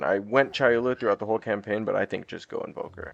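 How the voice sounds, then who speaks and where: A man's medium-pitched voice at a fairly quick pace with ordinary pitch variation, music in the background. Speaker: gaming content creator. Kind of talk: gameplay tutorial commentary. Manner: fast; casual, filler-heavy.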